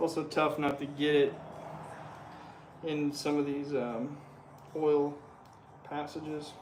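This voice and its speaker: A man with an American accent, fairly high in pitch and monotone, flat in intonation, speaking at a fairly slow pace with long, frequent pauses amid audible room echo and noticeable background noise. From Utah. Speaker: livestreamer restoring a motorcycle. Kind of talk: casual livestream chat while working.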